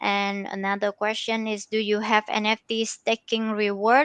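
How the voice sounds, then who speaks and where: A woman with a non-native accent talks at a fairly slow pace. The sound is dry and close with no echo, over a quiet background. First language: not English. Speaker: team member of a language-learning app. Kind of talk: live AMA session. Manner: hesitant.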